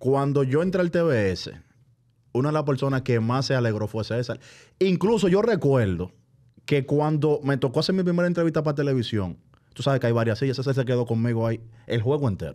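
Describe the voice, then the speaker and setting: Dark and mellow in tone, a man talks fairly quickly with lively intonation against a quiet background. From Dominican Republic, San Cristóbal; Dominican Republic. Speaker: basketball broadcast commentator. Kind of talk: casual chat. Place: studio. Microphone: studio mic.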